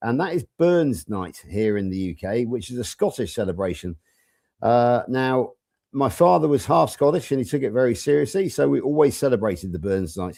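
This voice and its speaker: A man speaks with a West Country accent in a dark, mellow tone, his pitch swinging very widely. The recording is very clean, with a silent background. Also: medium pitch for a man, moderate pace. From England, Somerset (southwest). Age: 60s. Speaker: panel guest sharing diet story. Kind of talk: live stream panel chat.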